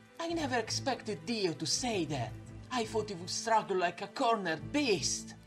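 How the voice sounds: This is a natural reading voice. It is used throughout the clip.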